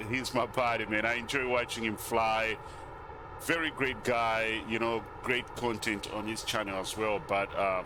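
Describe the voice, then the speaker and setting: A man with a non-native accent talks at medium pitch and a moderate pace, his intonation fairly even, over noticeable background noise. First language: not English. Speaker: flight sim YouTuber. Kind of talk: casual gameplay commentary. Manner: casual, halting with fillers.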